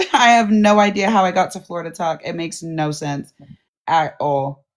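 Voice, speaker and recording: A woman with an American accent and a plain, everyday voice speaks at a moderate pace with lively intonation. Her loudness swings widely in a very clean recording with a silent background. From US West Coast. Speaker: livestream host, content creator. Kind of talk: casual livestream chat.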